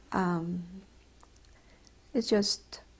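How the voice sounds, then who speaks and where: In a very clean recording with a silent background, a woman speaks with a Mexican accent and ordinary pitch variation. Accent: Mexican Spanish accent, noticeable. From Mexico, Mexico City. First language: Spanish. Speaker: retired doctor. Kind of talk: oral history interview. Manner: halting, with many fillers.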